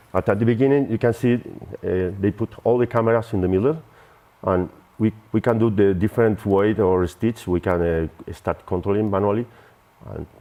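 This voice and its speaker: In a Spanish accent, a man talks at a moderate pace with a fairly low pitch and ordinary pitch variation. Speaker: software company representative. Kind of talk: product demo. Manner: halting.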